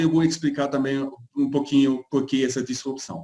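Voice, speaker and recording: The speaker is a man. His pitch sits fairly high. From Germany. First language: German (speaking Portuguese). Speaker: market research analyst. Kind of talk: webinar interview.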